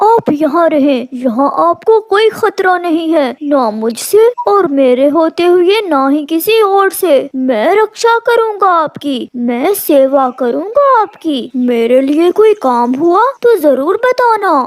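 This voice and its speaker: A cartoonish character voice, extremely high in pitch and very slow. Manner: sweet-talking, scheming.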